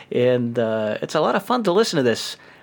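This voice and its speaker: The pace of speech is moderate. Pitch swings very widely throughout. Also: man. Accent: New York. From New York. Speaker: podcast host. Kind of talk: casual banter. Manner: joking, laughs often.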